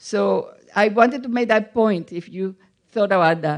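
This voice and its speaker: The background is quiet. A woman with a Spanish accent talks with lively intonation. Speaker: audience member asking a question. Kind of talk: audience Q&A. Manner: halting.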